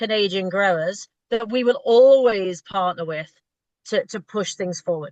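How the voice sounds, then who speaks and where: A woman with a British accent speaks at a moderate pace with lively intonation, the sound dry and close with no echo. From Britain. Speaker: retail food buyer. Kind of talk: interview. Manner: halting, repeats words.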